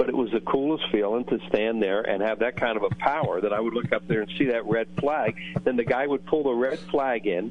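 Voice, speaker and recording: Amid noticeable background noise, a man talks at a fairly quick pace with a medium pitch and ordinary pitch variation. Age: 70s. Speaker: retired baseball broadcaster. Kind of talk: radio interview.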